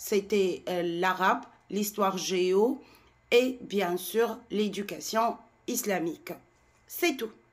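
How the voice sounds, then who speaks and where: Speaking very slowly with a Tunisian accent, the voice has ordinary pitch variation and long, frequent pauses. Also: woman, medium pitch for a woman. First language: Tunisian Arabic (speaking French). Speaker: French language content creator. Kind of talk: monologue to camera. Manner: animated.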